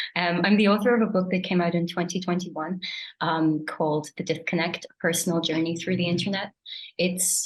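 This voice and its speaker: In an Irish accent, a woman with a fairly low pitch speaks at a moderate pace with monotone, flat intonation. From Ireland. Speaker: writer and creative writing lecturer. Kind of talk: panel discussion.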